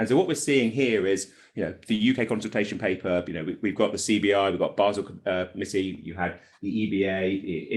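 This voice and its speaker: A man's fairly low-pitched voice with a British accent. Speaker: regulation consultant, former regulator. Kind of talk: conference panel presentation. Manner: fast.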